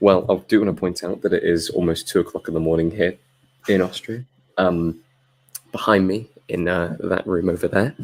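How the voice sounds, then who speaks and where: Speaking quietly at a moderate pace, a man with a very deep, low pitch keeps his intonation fairly even and leaves long, frequent pauses. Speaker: film commentator. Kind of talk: live watchalong chat. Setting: home live stream at night.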